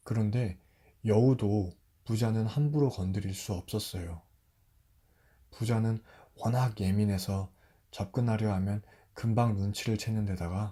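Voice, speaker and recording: A man's fairly low, somewhat breathy voice with a dark, mellow tone, at a fairly slow pace with long, frequent pauses, in a very clean recording with a silent background. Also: fairly even intonation. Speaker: storyteller. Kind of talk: fairy tale narration. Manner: soft-spoken.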